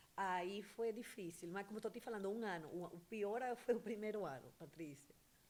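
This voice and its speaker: Someone with a Venezuelan accent speaks at a moderate pace with ordinary pitch variation. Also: woman, medium pitch for a woman. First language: Spanish (speaking Portuguese). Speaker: entrepreneur, beautician. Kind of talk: interview. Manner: hesitant, with fillers.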